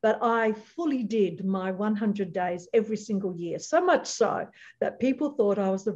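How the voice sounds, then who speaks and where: In an Australian accent, a woman speaks at a fairly high pitch with lively intonation and a somewhat breathy voice. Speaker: leadership trainer and chatbot business founder. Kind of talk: interview.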